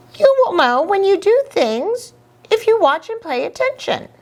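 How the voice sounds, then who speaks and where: Squeaky and extremely high-pitched, this is a put-on character voice. It moves at a moderate pace. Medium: read story. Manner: playful.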